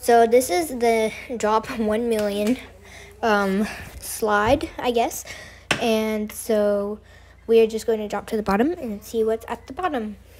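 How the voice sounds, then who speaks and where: Against noticeable background noise, a woman speaks at a fairly slow pace with a fairly high pitch. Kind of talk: casual gameplay commentary.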